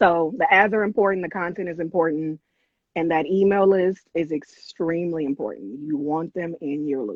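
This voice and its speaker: Here is a woman with a fairly low pitch and an American accent, using an ordinary speaking voice. Her pitch variation is ordinary and her pace moderate. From US West Coast, South Central LA. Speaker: e-commerce business owner. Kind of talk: live-stream interview. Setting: live stream video call.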